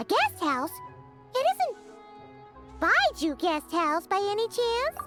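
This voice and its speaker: A put-on character voice unfolds at a fairly slow pace. Loud music plays in the background. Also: woman, extremely high pitch for a woman. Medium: game stream. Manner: bubbly, upbeat.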